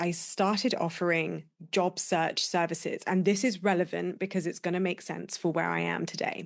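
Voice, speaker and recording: Over a quiet background, a woman with a fairly low pitch talks with vocal fry. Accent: British. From UK. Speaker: business coach, podcast host. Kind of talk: solo podcast monologue.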